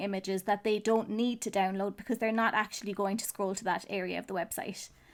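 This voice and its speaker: Someone speaks at a very fast pace with an Irish accent. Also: woman. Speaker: web designer, SEO teacher. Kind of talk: tutorial talk to camera. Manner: casual.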